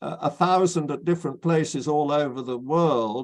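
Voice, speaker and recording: This man has a fairly high voice and a British accent. His pitch varies in an ordinary way against a quiet background. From Britain. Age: 80s+. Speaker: physicist. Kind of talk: interview. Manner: halting, repeats words.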